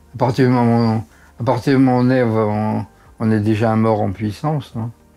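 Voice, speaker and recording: A man's voice sits at a medium pitch and keeps a moderate pace. Music runs behind him, and his intonation stays fairly even. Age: 80s+. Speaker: doctor. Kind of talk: interview answer.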